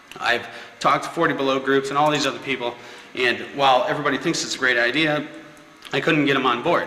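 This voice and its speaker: Through noticeable background noise, a man with an upstate New York accent and a fairly high pitch speaks at a very fast pace in fairly even intonation. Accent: upstate New York American. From Syracuse, upstate New York. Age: 30s. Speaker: local property developer. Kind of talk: personal pitch to camera. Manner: hesitant, many filler words.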